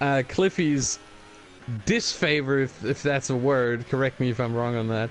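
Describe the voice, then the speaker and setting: Speech with ordinary pitch variation unfolds at a moderate pace while noticeable background noise runs beneath it. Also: man, medium pitch for a man. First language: not English. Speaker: sim racing co-commentator. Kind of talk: live commentary.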